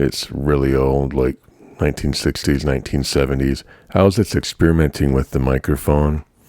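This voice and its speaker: Fairly even intonation and a relaxed tone come at a moderate pace in a dry, close sound with no echo, over noticeable background noise. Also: man, very deep, low pitch for a man. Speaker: hobbyist video creator. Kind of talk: casual vlog talk. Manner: relaxed, hesitant with fillers.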